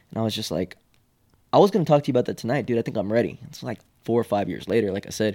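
A man with an American accent and a dark, mellow tone at medium pitch, speaking at a very fast pace with ordinary pitch variation and big swings in loudness, in a very clean recording with a silent background and a dry, close sound with no echo. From Houston, Texas. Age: 20s. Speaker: comedian. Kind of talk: casual chat.

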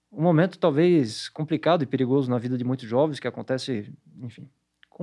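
A man with an unremarkable speaking voice, fairly high-pitched, talking at a fairly quick pace. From Santa Catarina, southern Brazil (Blumenau). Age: 40s. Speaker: psychology professor. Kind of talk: interview monologue.

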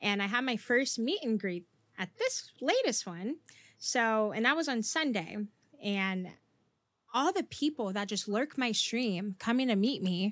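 In a very clean recording with a silent background, a woman with an American accent speaks in an animated tone at a fairly high pitch, her intonation lively. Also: fairly slow pace. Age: 20s. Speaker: streamer and content creator. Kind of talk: casual interview chat. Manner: animated, loud, high energy.

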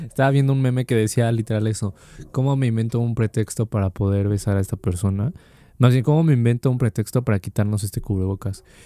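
In a dry, close sound with no echo on a very clean recording with a silent background, a man with a Mexican accent speaks at a very fast pace, his dark, mellow voice at a medium pitch with ordinary variation. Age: 20s. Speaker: student podcast co-host. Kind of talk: casual chat.

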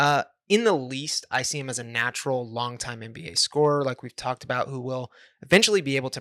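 A man with an American accent talks at a very fast pace in a fairly high pitch, his tone bright and sharp in a dry, close sound with no echo. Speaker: podcast host and draft writer. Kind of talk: casual chat.

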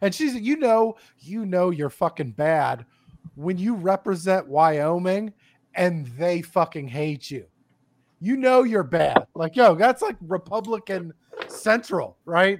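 Over a very clean recording with a silent background, a man talks very slowly in a high pitch with lively intonation. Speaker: podcast guest. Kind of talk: casual banter. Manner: crude, joking.

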